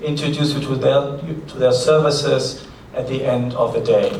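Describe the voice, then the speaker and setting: A man with a German accent speaks at a fairly high pitch. There is noticeable background noise and audible room echo. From Germany. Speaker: conference moderator. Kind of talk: event announcements. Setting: conference hall with audience.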